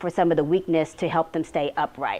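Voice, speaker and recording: A woman's fairly low voice at a fairly quick pace, monotone and flat. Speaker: research physical therapist. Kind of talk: conference talk. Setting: meeting room with audience. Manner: fast; halting, many fillers and repetitions.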